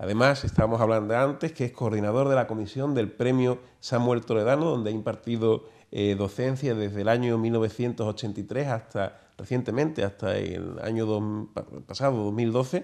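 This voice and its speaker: In a normal speaking voice, a man talks at a moderate pace and medium pitch with ordinary pitch variation against a quiet background. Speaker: TV show host. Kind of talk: interview. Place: studio. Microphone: lapel.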